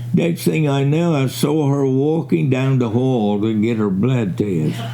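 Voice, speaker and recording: With an American accent, a man talks at a fairly slow pace and with lively intonation, amid noticeable background noise and audible room echo. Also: medium pitch for a man, very even loudness. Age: 80s+. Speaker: retired fisherman. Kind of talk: recorded interview, reminiscing.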